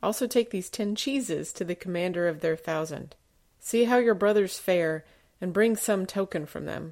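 On a very clean recording with a silent background, a woman with an unremarkable speaking voice, medium pitch, ordinary pitch variation and a moderate pace. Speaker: lay scripture reader. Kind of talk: scripture reading aloud.

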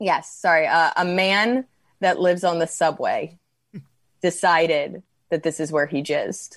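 A woman with a New York accent, a fairly low pitch, a fairly slow pace, and long, frequent pauses. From New York, US. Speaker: comedian, podcast co-host. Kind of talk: casual comedic chat. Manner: animated, many fillers.

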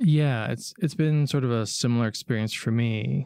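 A man speaks at a medium pitch with ordinary pitch variation, in an ordinary speaking voice. The sound is dry and close with no echo. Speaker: podcast host. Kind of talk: casual chat. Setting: video call. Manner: laughs often.

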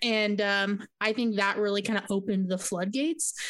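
A woman with an unremarkable speaking voice talks at a fairly quick pace, her pitch in the medium range. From US West Coast, southern California. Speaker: podcast co-host. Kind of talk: casual chat. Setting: video call. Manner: casual, many fillers.

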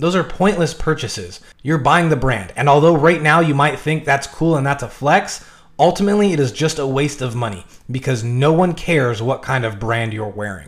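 A man with a fairly high pitch speaks at a moderate pace with lively intonation in an ordinary speaking voice. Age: 20s. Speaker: personal finance YouTuber. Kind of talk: tutorial.

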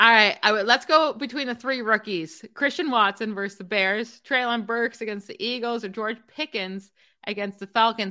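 Over a quiet background, a woman with a bright, sharp, upbeat tone speaks at a moderate pace, fairly high in pitch, with ordinary pitch variation and hardly any pauses. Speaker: fantasy football podcast host. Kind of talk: casual chat about fantasy football. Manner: upbeat, chatty, laughs often.

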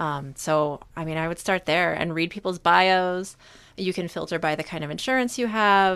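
A woman's fairly low-pitched, ordinary speaking voice at a moderate pace, with ordinary pitch variation, in a very clean recording with a silent background. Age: 30s. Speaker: therapist. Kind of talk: casual chat.

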